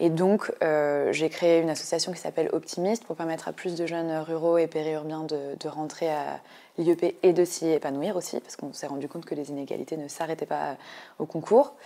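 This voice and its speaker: A woman's fairly low voice, dark and mellow in tone, with fairly even intonation. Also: moderate pace. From eastern France, Ain; eastern France. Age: 20s. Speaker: political activist and candidate; election candidate. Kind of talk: interview; interview answer. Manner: hesitant, many filler sounds. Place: studio. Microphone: lapel.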